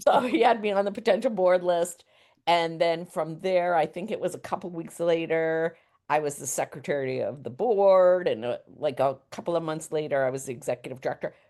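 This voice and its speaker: Over a quiet background, a woman speaks fairly quickly in a fairly low, dark, mellow voice with lively intonation. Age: 60s. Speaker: community outreach coordinator and cafe owner. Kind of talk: podcast interview.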